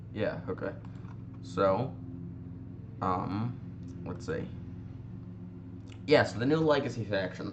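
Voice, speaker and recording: Speaking at a fairly slow pace with ordinary pitch variation, a man's voice carries audible room echo. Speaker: gaming youtuber. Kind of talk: gameplay commentary. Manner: halting, many fillers.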